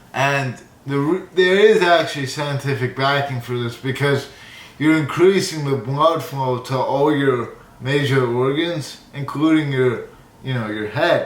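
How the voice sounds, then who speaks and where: Against noticeable background noise and audible room echo, a man with a fairly high pitch speaks at a fairly slow pace. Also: ordinary pitch variation. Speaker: YouTuber. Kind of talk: casual vlog monologue. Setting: studio.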